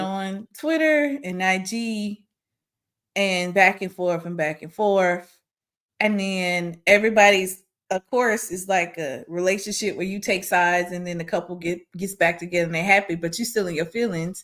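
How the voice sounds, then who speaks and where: In a very clean recording with a silent background, a woman speaks at a moderate pace with a medium pitch and ordinary pitch variation. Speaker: podcast host, higher education academic. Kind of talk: casual podcast conversation. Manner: animated, candid, exasperated.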